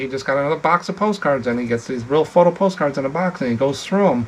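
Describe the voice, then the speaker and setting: Speaking very fast, a man keeps a medium pitch. His intonation is lively. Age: 60s. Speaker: postcard reseller and YouTuber. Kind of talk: casual chat. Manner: casual, halting.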